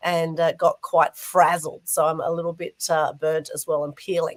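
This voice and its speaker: A moderate pace from a woman with an Australian accent. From Australia (Sydney). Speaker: talk show co-host. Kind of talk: interview hosting. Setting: online show video call.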